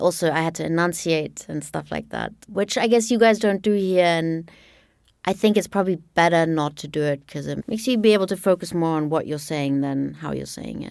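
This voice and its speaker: A woman speaks at a fairly quick pace, with a fairly low pitch and ordinary pitch variation, in a slight southern German accent. The recording is very clean, with a silent background. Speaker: podcast narrator. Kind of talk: casual interview chat.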